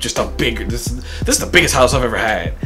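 A man is talking. Clear music plays in the background. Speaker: comedian content creator. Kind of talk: casual vlog chat. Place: home room.

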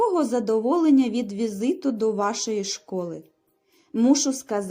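Plain reading aloud. The background is quiet.

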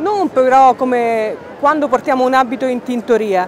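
Amid noticeable background noise, a woman speaks at a moderate pace in a high voice. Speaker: news reporter narrating the story. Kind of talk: news report voice-over.

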